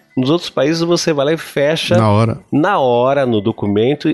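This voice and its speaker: Speaking at a moderate pace, a man uses an ordinary speaking voice at medium pitch with lively intonation. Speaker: podcast host. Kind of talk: casual chat.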